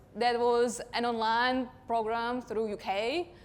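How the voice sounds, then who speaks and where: A woman speaks with an Eastern European accent at a fairly high pitch. The recording is very clean, with a silent background. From Russia. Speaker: digital marketing consultant. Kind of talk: conference talk.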